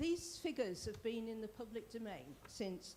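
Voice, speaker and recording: Noticeable background noise and audible room echo around a woman talking at a moderate pace. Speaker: local councillor. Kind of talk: council debate speech. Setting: council meeting in a theatre.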